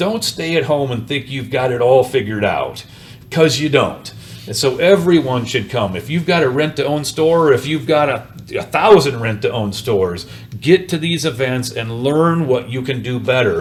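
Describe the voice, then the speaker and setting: Music plays in the background as a man speaks at a moderate pace. His medium-pitched voice has lively intonation. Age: 60s. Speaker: rent-to-own business owner. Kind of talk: interview. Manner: animated.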